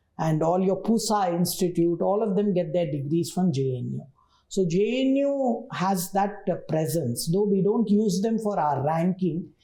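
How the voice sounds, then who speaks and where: A woman with a Telugu accent speaks at a moderate pace and medium pitch, her intonation lively. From southern India, Tamil Nadu. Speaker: university vice chancellor. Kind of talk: interview.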